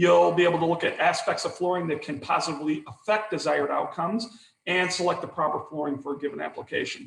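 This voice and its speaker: This man speaks with a high-pitched voice. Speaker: continuing education presenter. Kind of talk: webinar lecture. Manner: fast.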